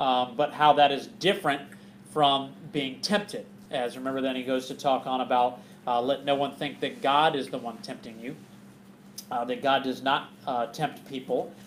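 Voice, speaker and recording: Light background noise sits under a man who keeps a moderate pace and ordinary pitch variation. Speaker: bible study teacher. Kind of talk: sermon. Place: hall. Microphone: camera far.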